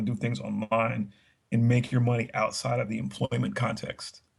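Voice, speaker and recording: This man speaks at a fairly quick pace. His pitch is medium and a little breathy. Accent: American. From Texas. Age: 30s. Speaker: podcast guest. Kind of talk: casual chat.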